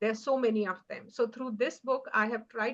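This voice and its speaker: In an Indian accent, a woman talks at a fairly high pitch with fairly even intonation. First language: Hindi. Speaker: author. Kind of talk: award acceptance speech. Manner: halting, many fillers.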